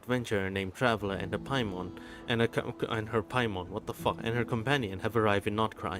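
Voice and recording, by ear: The text is read aloud in a natural voice.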